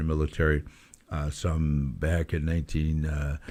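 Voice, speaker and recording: A man with a Southern US accent. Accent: Southern US (Georgia). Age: 70s. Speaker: former mayor, commentator. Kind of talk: radio commentary. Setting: internet talk radio. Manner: halting, many fillers.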